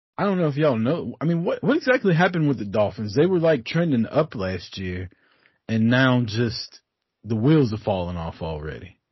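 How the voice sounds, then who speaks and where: A somewhat breathy man at medium pitch speaks at a moderate pace, his pitch swinging very widely. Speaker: guest sports podcaster, Cowboys fan. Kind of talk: casual sports banter. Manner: profane, opinionated.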